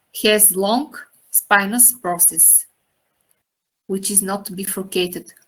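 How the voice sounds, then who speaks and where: A woman speaks with a non-native accent. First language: not English. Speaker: anatomy teacher. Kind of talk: lecture. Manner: halting.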